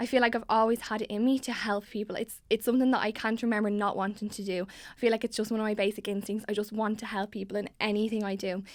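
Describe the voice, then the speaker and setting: A woman speaks very fast with a Dublin accent. Her voice sits fairly high. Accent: Dublin Irish. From Ireland, Dublin (Tallaght). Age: 20s. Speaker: student election candidate. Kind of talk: interview. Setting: studio. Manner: hesitant, many fillers.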